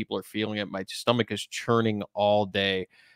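The man's voice comes through dry with no echo against a quiet background. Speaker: investment company host. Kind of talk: commentary. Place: home room. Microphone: studio mic.

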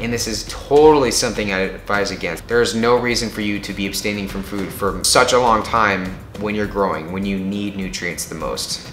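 Over light background noise and audible room echo, a man with a fairly low pitch speaks fairly quickly, with fairly even intonation and hardly any pauses. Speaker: fitness vlogger. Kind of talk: casual vlog chat. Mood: earnest, cautionary. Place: home room. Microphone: camera far.

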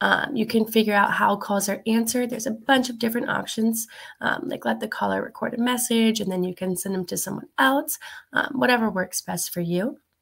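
Here a woman is talking. Her pace is fairly quick, with ordinary pitch variation. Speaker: presenter. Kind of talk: tutorial. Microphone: webcam.

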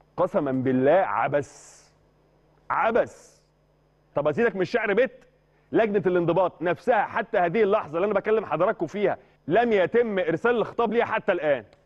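With an Egyptian accent, a man speaks in an animated tone at a high pitch and moderate pace against a quiet background. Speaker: sports journalist. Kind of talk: sports talk show discussion. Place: studio. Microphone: lapel.

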